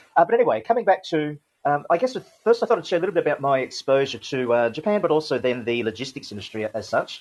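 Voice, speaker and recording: Talking at a very fast pace with an Australian accent, a man uses a fairly high pitch that swings very widely. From Australia (Sydney, from early childhood). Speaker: logistics industry veteran. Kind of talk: podcast interview talk. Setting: online audio room. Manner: hesitant, many fillers.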